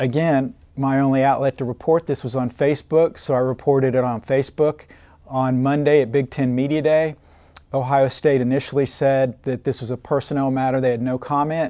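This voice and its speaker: Speaking fairly quickly with an American accent, a man with a medium pitch and a dark, mellow tone keeps a monotone, flat intonation. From Oklahoma. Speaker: sports journalist. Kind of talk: interview.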